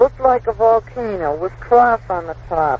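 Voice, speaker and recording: Speaking at a very slow pace, a man talks over noticeable background noise. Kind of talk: rhyming poem reading aloud, travel diary verse. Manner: sing-song, rhythmic rhyme delivery, light and playful; casual, chatty, with fillers and asides.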